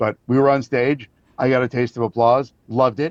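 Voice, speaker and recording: Its intonation fairly even, this is an ordinary speaking voice. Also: man. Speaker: voice actor. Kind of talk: interview answer.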